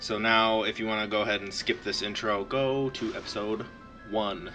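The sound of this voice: The voice is an unforced reading voice. It reads without strain.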